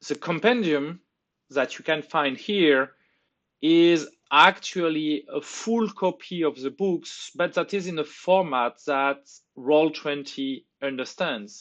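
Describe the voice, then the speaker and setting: With a French accent, a man speaks very slowly in a fairly high pitch, his pitch varying in an ordinary way. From France. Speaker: tabletop game tool developer. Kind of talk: tutorial. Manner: halting.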